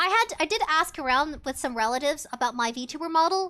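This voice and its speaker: A woman projects a raised voice with a bright, sharp tone. The recording is very clean, the background silent. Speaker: VTuber streamer. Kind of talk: casual chat. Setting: live stream.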